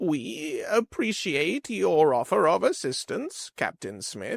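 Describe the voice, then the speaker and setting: Using a put-on character voice, a man speaks at a high pitch and a fairly slow pace in a very clean recording with a silent background. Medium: read story. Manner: formal, dignified.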